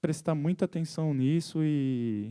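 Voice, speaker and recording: At a fairly slow pace, a man with a dark, mellow tone speaks with ordinary pitch variation in a dry, close sound with no echo. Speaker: musician and composer. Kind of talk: talk to an audience. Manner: halting, with repetitions.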